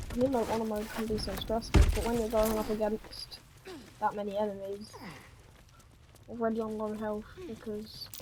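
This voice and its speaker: A soft-spoken woman with a fairly high pitch talks at a moderate pace in a monotone, flat intonation, leaving long, frequent pauses amid audible room echo and noticeable background noise. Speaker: gaming video creator. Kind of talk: gameplay commentary.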